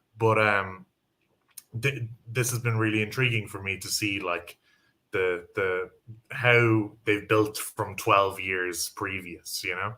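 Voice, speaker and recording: With an Irish accent, a man talks at a very slow pace and fairly low pitch, his tone bright and sharp, his intonation fairly even, and his speech marked by long, frequent pauses. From Ireland. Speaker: football pundit. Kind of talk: casual chat.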